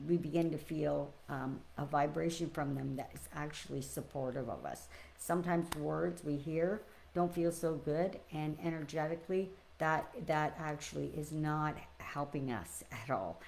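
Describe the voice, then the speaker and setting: A woman with a very deep, low pitch and audible room echo. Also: fairly even intonation, moderate pace. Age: 60s. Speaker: spiritual teacher. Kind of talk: spiritual reflection livestream. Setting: live stream. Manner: hesitant, many fillers.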